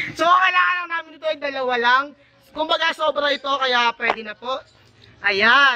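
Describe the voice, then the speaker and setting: Shouting in a playful tone, a man hits an extremely high pitch at a moderate pace, with ordinary pitch variation over noticeable background noise. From Philippines. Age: 20s. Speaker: YouTube vlogger. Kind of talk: casual talk to camera. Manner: playful, joking.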